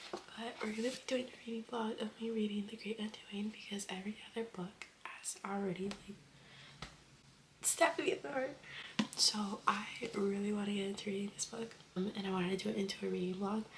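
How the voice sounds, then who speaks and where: Against noticeable background noise, a woman talks at a fairly quick pace with a medium pitch and fairly even intonation. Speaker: vlogger. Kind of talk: casual vlog. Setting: at home, getting ready for work.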